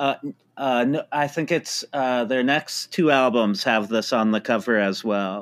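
A man with an American accent uses a normal speaking voice at medium pitch, speaking at a fairly slow pace with ordinary pitch variation and very even loudness in a very clean recording with a silent background. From California, Palo Alto. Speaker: professor. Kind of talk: casual chat. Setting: studio.

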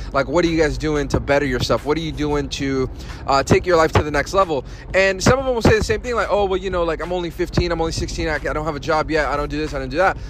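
A man at fairly high pitch, a very fast pace, and noticeable background noise. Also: ordinary pitch variation. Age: 30s. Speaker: podcast host. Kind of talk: casual monologue. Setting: on the way to work. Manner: conversational with many fillers.

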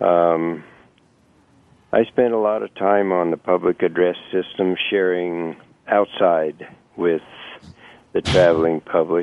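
With fairly even intonation, the speaker goes at a very slow pace. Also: man. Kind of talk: radio interview answers. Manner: halting, hesitant, formal.

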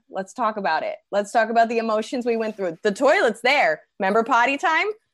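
In a normal speaking voice, a woman with an American accent talks at a fairly quick pace, her fairly high pitch moving with lively intonation. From New Jersey. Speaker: comedian. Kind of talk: casual chat.

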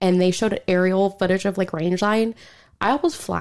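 Using a normal speaking voice with an American accent, the woman moves at a fairly quick pace, medium in pitch and fairly even in intonation. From Oklahoma. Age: 20s. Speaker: listener sharing ghost story. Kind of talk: casual chat.

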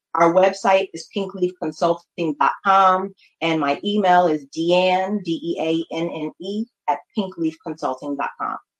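A woman's unremarkable speaking voice with an American accent, medium in pitch with ordinary pitch variation, at a fairly slow pace, with dry, close sound and no echo. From New Haven, Connecticut. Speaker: marketing consultant. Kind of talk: interview.

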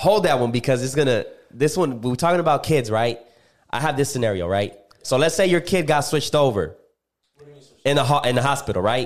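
With lively intonation and a fairly high pitch, a man talks at a fairly quick pace but leaves long, frequent pauses. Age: 20s. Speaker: podcast host. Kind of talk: casual chat.

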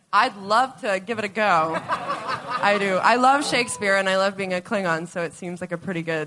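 Noticeable background noise accompanies the woman. Her pace is moderate and her pitch varies in an ordinary way. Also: medium pitch for a woman. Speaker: actor. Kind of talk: casual panel interview.

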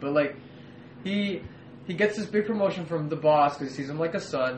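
A man's lively intonation and fairly quick pace come through noticeable background noise and audible room echo. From US, Mexican-American family. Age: 20s. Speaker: pop culture podcast co-host. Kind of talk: casual chat.

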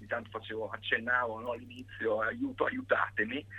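This is a man speaking. His pace is fairly quick. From Italy, Pesaro (Marche). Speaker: pianist and composer. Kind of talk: interview. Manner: halting.

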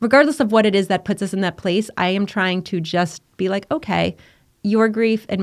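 An ordinary speaking voice from a woman at medium pitch, with ordinary pitch variation, on a very clean recording with a silent background. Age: 50s. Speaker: bereaved mother and charity founder. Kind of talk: casual interview conversation.

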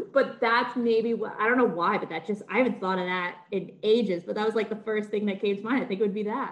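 With a plain, everyday voice, a woman at a fairly high pitch talks fairly quickly, with fairly even intonation and hardly any pauses. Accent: American. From Massachusetts, greater Boston area. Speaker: antiques content creator. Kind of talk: casual chat.

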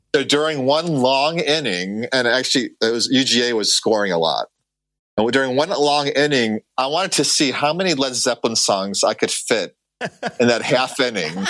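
An American accent in a plain, everyday voice, with lively intonation, very even loudness and a moderate pace, on a very clean recording with a silent background. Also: man, medium pitch for a man. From Chicago. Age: 40s. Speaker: baseball stadium organist. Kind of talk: casual interview.

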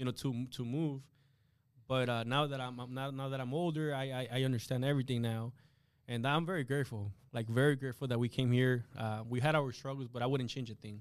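A man of medium pitch talks with a Spanish accent and fairly even intonation. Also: fairly quick pace. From Guatemala. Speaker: insurance agent. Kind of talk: interview. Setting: studio. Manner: halting.

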